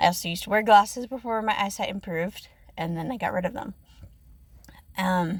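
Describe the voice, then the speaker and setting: The voice is somewhat breathy, with ordinary pitch variation. Long pauses come often. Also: woman, medium pitch for a woman, fairly quick pace. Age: 20s. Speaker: ASMR content creator. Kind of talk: personal storytelling. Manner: shaky; hesitant, many fillers.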